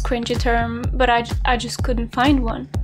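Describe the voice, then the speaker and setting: Clear background music behind a woman's fairly slow delivery. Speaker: video game lore youtuber. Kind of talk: commentary. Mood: sarcastic, expressive. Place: home room. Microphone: webcam.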